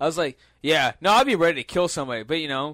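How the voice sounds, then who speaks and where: A man with a plain, everyday voice speaks at a moderate pace, his pitch fairly high, in a dry, close sound with no echo. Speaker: podcast co-host. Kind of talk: casual banter, storytelling. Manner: profane, casual.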